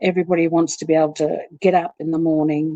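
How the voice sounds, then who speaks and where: A woman talks at a fairly quick pace in a dark, mellow tone. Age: 60s. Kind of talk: personal testimony in a workshop talk. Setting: pre-recorded online workshop broadcast. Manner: halting, many fillers.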